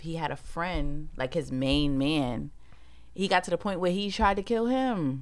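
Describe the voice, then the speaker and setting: Speaking with a New York accent, a woman uses a fairly low pitch and lively intonation at a moderate pace. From Brooklyn, New York. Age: young. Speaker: podcast co-host. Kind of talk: casual chat.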